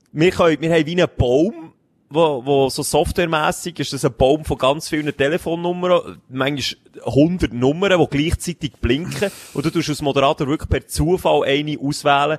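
With a Swiss accent, a man of fairly high pitch speaks at a moderate pace with fairly even intonation, recorded dry and close with no echo. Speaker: podcast co-host. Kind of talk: casual chat. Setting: home studio on a sofa.

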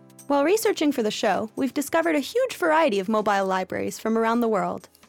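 A woman with a Canadian accent speaks at a very fast pace with lively intonation. Music plays in the background of this dry, close recording with no echo. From Canada. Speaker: podcast host. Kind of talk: scripted narration and interview.

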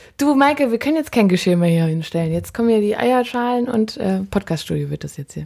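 A woman's dark, mellow voice at a fairly quick pace, with very wide pitch swings and hardly any pauses. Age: 20s. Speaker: podcast host and musician. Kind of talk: casual chat. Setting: kitchen.

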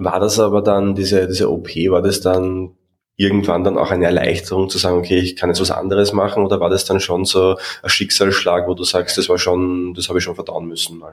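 With an Austrian accent, a man delivers his words at a fairly quick pace in a very deep, low voice and a monotone, flat intonation. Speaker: podcast host and coach. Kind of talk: interview.

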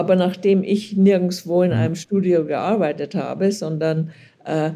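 A woman speaks at a moderate pace in a fairly low pitch, with a dark, mellow tone, ordinary pitch variation and vocal fry. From Germany, Lower Bavaria. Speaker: journalist. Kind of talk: interview. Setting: remote call.

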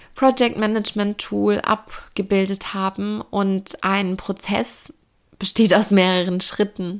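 Intonation stays fairly even as the words come very slowly. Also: woman. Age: 20s. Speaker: business coach podcaster. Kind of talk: solo podcast monologue.

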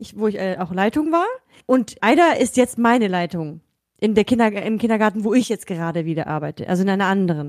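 A plain, everyday voice from a woman at medium pitch, fairly quick, with lively intonation, in a very clean recording with a silent background. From Germany. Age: 30s. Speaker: podcast co-host, kindergarten educator. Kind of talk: casual chat.

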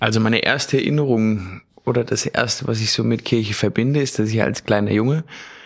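At a moderate pace comes a plain, everyday voice. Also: man. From Mecklenburg, northeastern Germany. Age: 30s. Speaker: kindergarten teacher and dog trainer. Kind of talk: casual conversation, personal faith story.

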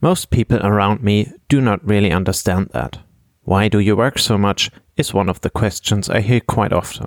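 A man with a German accent and a fairly low pitch, at a moderate pace with ordinary pitch variation, very even loudness, and a dry, close sound with no echo. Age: 30s. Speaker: podcast host and finance blogger. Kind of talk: scripted monologue.

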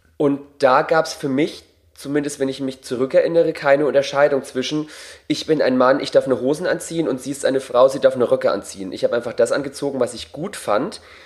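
Fairly even in intonation and fairly high in pitch, a man talks in an unremarkable speaking voice. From Bavaria. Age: 30s. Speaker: drag performer. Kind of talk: casual interview. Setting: home.

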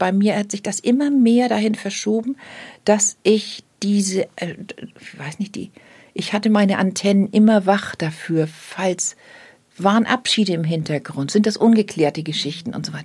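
A somewhat breathy woman speaks at a moderate pace. Her pitch varies in an ordinary way. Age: 60s. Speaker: death doula. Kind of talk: casual chat.

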